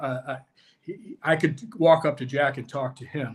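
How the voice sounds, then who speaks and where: At a moderate pace, a man speaks with fairly even intonation, a fairly high pitch and a somewhat breathy quality. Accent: American. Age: 60s. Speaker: former pro soccer player and college coach. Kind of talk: casual chat. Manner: halting.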